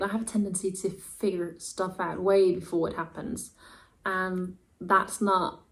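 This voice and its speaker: A woman speaks at a moderate pace in a medium pitch, sounding somewhat breathy. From Denmark. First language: Danish. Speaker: booktuber. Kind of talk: casual vlog talk to camera. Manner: animated.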